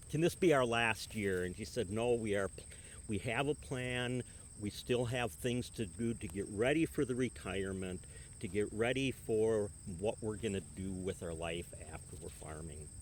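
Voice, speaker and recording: At a moderate pace, a man with an unremarkable speaking voice talks at a fairly low pitch with lively intonation. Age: 60s. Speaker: retiring farmer. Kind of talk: interview.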